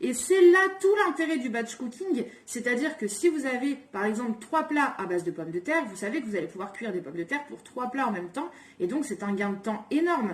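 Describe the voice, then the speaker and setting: Noticeable background noise sits behind a woman with a high voice. She talks at a fairly quick pace, her pitch swinging very widely. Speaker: cooking and home organisation vlogger. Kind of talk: casual tutorial. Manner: fast.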